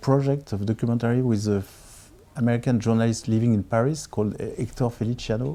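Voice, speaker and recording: Speaking with a French accent, a man moves at a fairly quick pace. His medium-pitched voice has a dark, mellow tone and ordinary pitch variation. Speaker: film director. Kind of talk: interview. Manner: halting, with many repetitions.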